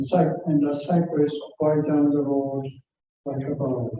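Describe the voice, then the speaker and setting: A man's fairly high voice moves at a very slow pace. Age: 70s. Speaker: poet. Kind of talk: poetry reading.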